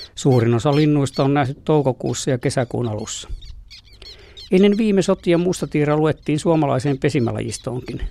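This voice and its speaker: The man's tone is dark and mellow. It sits at a fairly high pitch. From Finland, South Karelia (Lappee). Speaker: nature radio presenter, ornithologist. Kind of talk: scripted narration.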